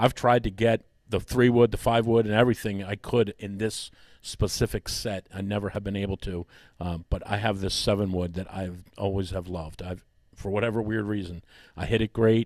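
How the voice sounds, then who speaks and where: Speaking at a moderate pace with fairly even intonation, a man with an ordinary speaking voice and fairly low pitch is captured in a dry, close sound with no echo against a quiet background. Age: 60s. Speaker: golf coach. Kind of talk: casual chat. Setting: studio with audience.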